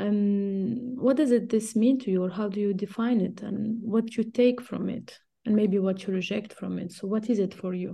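A woman's voice at medium pitch, dark and mellow in tone, somewhat breathy, with flat, monotone intonation. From Tunisia. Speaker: podcast host and academic. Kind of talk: interview.

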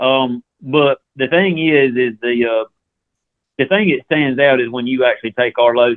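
This man has a Southern US accent. His medium pitch shows ordinary variation. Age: 40s. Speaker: ammunition company representative. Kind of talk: casual interview. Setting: phone call.

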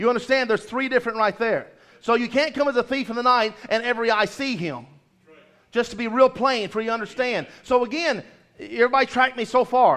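Intonation here is fairly even. The pace runs fairly quick. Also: man, extremely high pitch for a man. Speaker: preacher. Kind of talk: sermon with prayer. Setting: church. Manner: fast talker.

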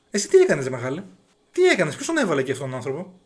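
The voice swings very widely in pitch. The recording is very clean, with a silent background. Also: man. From Greece. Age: 30s. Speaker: podcaster. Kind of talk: monologue.

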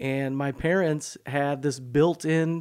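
A man with an American accent talks in a plain, everyday voice with ordinary pitch variation on a very clean recording with a silent background. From US Midwest, south Chicago suburbs. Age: 40s. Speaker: pastor. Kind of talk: casual interview chat. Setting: studio.

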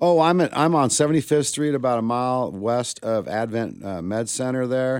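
A man speaks at a fairly slow pace with an American accent and ordinary pitch variation. His is a normal speaking voice. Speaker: barbecue restaurant owner. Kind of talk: casual chat.

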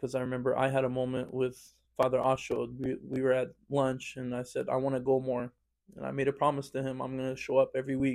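With an American accent, a man talks at a very fast pace in a medium pitch and a monotone, flat intonation. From Fresno, California, US. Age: young adult. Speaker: church choir singer. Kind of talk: casual interview.

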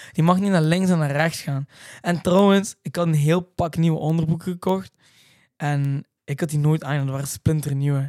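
On a very clean recording with a silent background, a man with an ordinary speaking voice talks at a moderate pace and a fairly high pitch, the sound dry and close with no echo. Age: 20s. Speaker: reality TV contestant and racing driver. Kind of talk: casual chat.

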